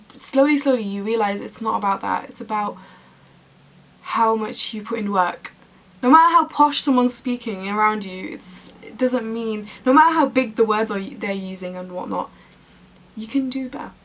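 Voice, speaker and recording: A woman at a fairly high pitch, with ordinary pitch variation and big swings in loudness, over noticeable background noise. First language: Arabic. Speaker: university student vlogger. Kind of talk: casual vlog talk to camera. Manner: animated.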